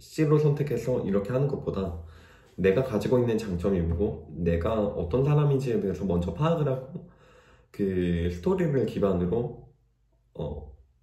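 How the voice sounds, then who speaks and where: A somewhat breathy man's voice, dark and mellow in tone, with very wide pitch swings and a fairly slow pace, amid audible room echo. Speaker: job-seeking aspiring developer, vlogger. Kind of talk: casual vlog monologue. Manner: hesitant, with fillers.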